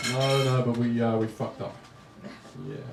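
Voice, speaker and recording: There is noticeable background noise and audible room echo as a man with an English accent speaks at a moderate pace. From England. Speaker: stand-up comedian. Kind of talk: stand-up. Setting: stage with audience. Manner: halting.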